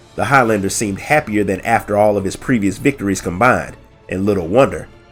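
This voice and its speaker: Music plays in the background as a man talks at a fairly quick pace in a fairly low pitch with ordinary pitch variation. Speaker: lore narrator. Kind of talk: audiobook story reading. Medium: read story.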